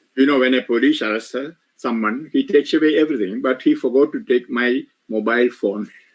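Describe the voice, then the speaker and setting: A man with a Keralan accent talks at a moderate pace, his medium pitch showing ordinary variation. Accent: Indian (Malayali) English. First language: Malayalam (speaking French). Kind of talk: retreat sermon with interpreter. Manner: short phrases paused for interpreter.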